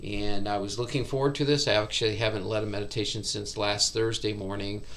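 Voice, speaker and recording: In a room with audible echo, a man with a fairly low pitch speaks at a very fast pace. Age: 60s. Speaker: meditation teacher. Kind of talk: casual chat.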